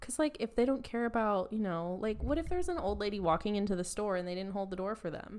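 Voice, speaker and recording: A woman at a very fast pace with lively intonation and hardly any pauses. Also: medium pitch for a woman. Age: 20s. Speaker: podcast co-host. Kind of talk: casual chat.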